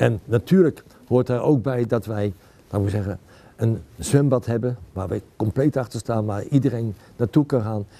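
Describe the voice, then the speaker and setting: At a moderate pace, a man talks in a medium pitch. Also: ordinary pitch variation. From Netherlands, Utrecht; Netherlands. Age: 60s. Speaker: local politician. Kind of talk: campaign interview. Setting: library. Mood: calm, earnest. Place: hall.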